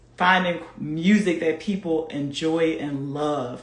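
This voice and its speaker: A woman with a very deep, low voice speaks in an animated tone, her pitch varying in an ordinary way. Audible room echo surrounds her speech. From US, Philadelphia. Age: 40s. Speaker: fitness coach. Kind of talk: live stream chat.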